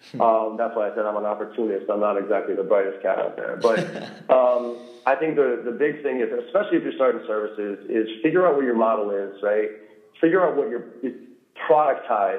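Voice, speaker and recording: A man's medium-pitched voice at a fairly quick pace, with audible room echo and noticeable background noise. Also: lively intonation. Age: 40s. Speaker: sales trainer. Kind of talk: interview.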